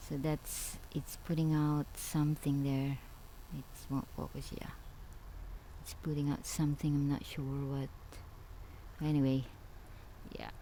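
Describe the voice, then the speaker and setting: A woman mumbles in a very deep, low voice with a dark, mellow tone. Her intonation is monotone and flat, with long, frequent pauses. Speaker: gardening vlogger. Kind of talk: casual video tour. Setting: greenhouse tent. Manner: mumbling; halting.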